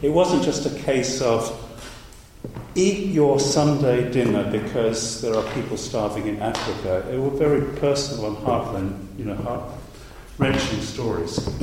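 Medium-pitched man, lively intonation, fairly slow pace, noticeable background noise. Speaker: academic speaker. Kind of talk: academic talk.

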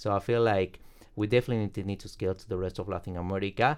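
A man speaks with a Spanish accent at a fairly low pitch, his intonation fairly even. The recording is very clean, with a silent background. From Bolivia. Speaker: startup founder and MBA student. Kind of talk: interview.

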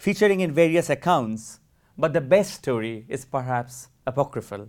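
Lively intonation at a moderate pace, in a very clean recording with a silent background. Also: man. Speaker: academic historian. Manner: measured, solemn, formal; dramatic, storytelling, vivid emphasis.

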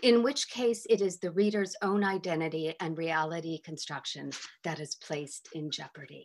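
A woman's fairly low-pitched, plain, everyday voice with lively intonation at a moderate pace. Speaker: literature professor. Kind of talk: academic talk. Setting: video call.

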